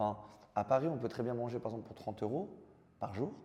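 A man with a dark, mellow tone talks at a fairly quick pace, his pitch varying an ordinary amount. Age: 20s. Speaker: professional esports player. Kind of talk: interview. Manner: halting, many fillers.

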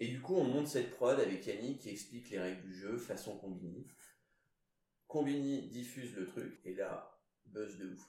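A man with a medium-pitched voice, dark and mellow, talks at a moderate pace with ordinary pitch variation and long, frequent pauses. Audible room echo surrounds him. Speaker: CEO of a PR agency. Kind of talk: casual interview.

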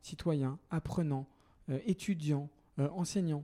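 Fairly high in pitch for a man, his voice has a dark, mellow tone and ordinary pitch variation. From Paris, France. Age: 30s. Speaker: entrepreneur and activist. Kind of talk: interview conversation.

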